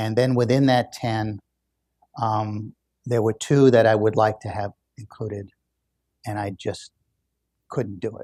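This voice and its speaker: In a very clean recording with a silent background, a man with a fairly low, dark, mellow voice speaks at a fairly slow pace in a flat monotone, leaving long, frequent pauses while his loudness swings widely. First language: German. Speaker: author and business school professor. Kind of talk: public book discussion Q&A. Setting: public event with audience. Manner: halting, many fillers and restarts.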